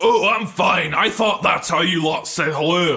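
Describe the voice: A man's put-on character voice, fairly high and fairly slow, with a bright, sharp tone, vocal fry and ordinary pitch variation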